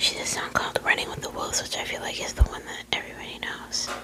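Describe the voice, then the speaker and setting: Noticeable background noise sits behind the whispering. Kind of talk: ASMR talk. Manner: whispered; casual, rambling.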